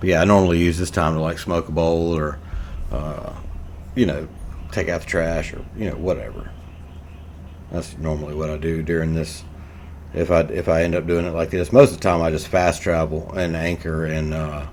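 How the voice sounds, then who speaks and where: With noticeable background noise, a man with an American accent speaks at a very deep, low pitch in a flat monotone, at a fairly quick pace broken by long, frequent pauses. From USA. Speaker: gaming YouTuber. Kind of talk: gameplay commentary. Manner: casual, rambling with many fillers.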